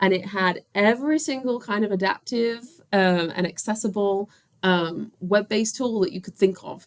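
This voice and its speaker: This woman has an unremarkable speaking voice. Her pitch sits in the medium range, with ordinary pitch variation. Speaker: assistant principal and special education teacher. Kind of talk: recorded presentation. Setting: recording alone at a computer.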